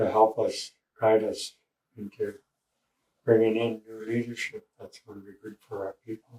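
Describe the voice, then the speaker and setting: Speaking at a moderate pace, a man uses a medium-pitched, somewhat breathy voice with a dark, mellow tone and flat, monotone intonation. Long pauses come often, and the sound is dry and close with no echo. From Canada, Cheam First Nation. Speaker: First Nation elder. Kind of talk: interview answer.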